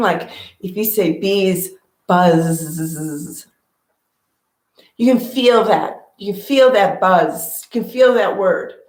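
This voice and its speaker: In a room with audible echo, a woman of medium pitch speaks at a very slow pace with ordinary pitch variation. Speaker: meditation teacher. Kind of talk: guided meditation talk. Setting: at home with cat on lap. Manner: casual.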